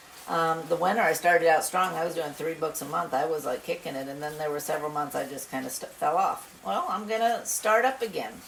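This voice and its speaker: A woman's fairly low-pitched voice with hardly any pauses, against noticeable background noise. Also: lively intonation. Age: 60s. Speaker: retired homesteader cooking channel host. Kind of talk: casual cooking tutorial. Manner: hesitant, many fillers.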